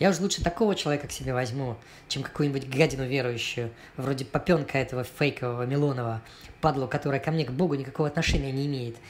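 A man speaks very fast at a fairly high pitch. His voice is somewhat breathy, with ordinary pitch variation. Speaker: cartoonist and artist. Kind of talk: read satirical cartoon story. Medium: cartoon.

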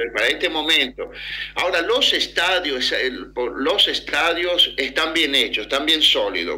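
Fairly slow speech from a man, with noticeable background noise behind it. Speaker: Argentine expatriate. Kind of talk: remote radio interview. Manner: halting.

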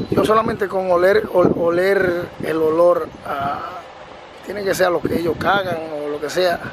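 Noticeable background noise sits behind the speech. The delivery is fairly slow, with fairly even intonation. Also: man, high pitch for a man. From Dominican Republic, rural countryside. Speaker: family vlogger. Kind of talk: casual vlog narration. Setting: outdoors. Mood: enthusiastic, admiring. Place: farm. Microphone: phone near.

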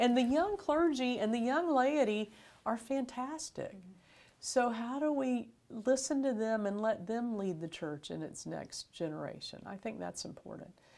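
Her high-pitched voice swings very widely in pitch and shows big swings in loudness as the woman speaks at a moderate pace. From Florida. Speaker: bishop. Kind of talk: interview. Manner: casual. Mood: warm, friendly. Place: studio. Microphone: lapel.

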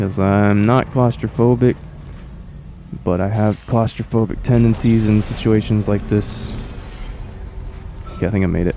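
A man speaks at a fairly low pitch and a moderate pace, with long, frequent pauses. His loudness stays very even, and music plays in the background. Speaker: gaming commentator. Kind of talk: casual gameplay commentary. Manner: profane, animated.

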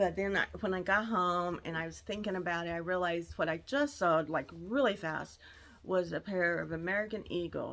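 A woman with a normal speaking voice talks at a moderate pace, her pitch fairly low and its variation ordinary. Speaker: reseller showing a thrift haul. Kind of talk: casual vlog chat. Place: home room. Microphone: phone near.

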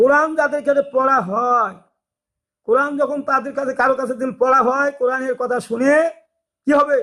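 This man's voice is raised and projected, with an extremely high pitch. His tone is bright and sharp, and his intonation stays fairly even. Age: 60s. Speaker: religious YouTuber. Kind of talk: religious talk. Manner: halting.

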